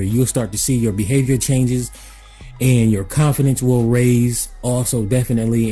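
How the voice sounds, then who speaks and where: Background music under a man's medium-pitched voice, at a moderate pace with fairly even intonation. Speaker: personal development consultant. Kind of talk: motivational talk to camera. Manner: casual, repetitive with filler words.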